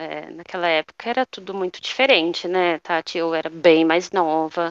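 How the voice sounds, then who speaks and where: The speech moves at a very slow pace. The sound is dry and close with no echo, over a quiet background. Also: woman. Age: 30s. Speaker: former flight attendant, mother. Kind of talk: casual interview chat. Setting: at home, remote call.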